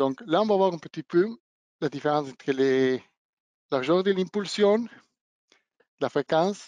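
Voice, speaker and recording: Against a quiet background with a dry, close sound and no echo, a man with a non-native accent speaks at a fairly slow pace, his pitch high with ordinary variation. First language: not French (speaking French). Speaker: product trainer / technical presenter. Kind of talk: webinar product demonstration. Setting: online webinar. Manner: hesitant, with fillers and self-corrections.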